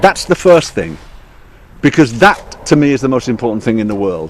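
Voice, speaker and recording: A man speaks with a British accent. His pitch swings very widely. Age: 60s. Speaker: radio DJ, broadcaster. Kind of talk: statement to reporters.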